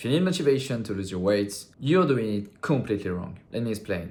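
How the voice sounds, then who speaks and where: A man with a non-native accent speaks at a medium pitch and a moderate pace. Room echo can be heard. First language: not English. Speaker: fitness content creator. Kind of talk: casual vlog talk to camera. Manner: halting, with fillers.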